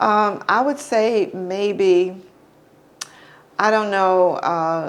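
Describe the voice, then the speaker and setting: Amid audible room echo, a woman at a medium pitch speaks at a very slow pace. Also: ordinary pitch variation. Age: 70s. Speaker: real estate agent. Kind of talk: interview.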